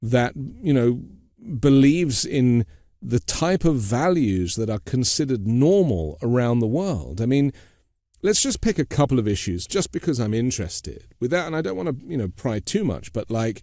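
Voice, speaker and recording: Very wide pitch swings mark this man's medium-pitched voice, which has a dark, mellow tone and a British accent at a moderate pace. The recording is very clean, with a silent background. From Britain. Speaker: podcast host. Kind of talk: interview.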